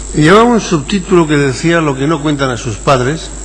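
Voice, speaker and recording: At a fairly quick pace with ordinary pitch variation, the voice comes through audible room echo and noticeable background noise. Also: man. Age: 60s. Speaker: sociology professor. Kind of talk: conference lecture. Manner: halting.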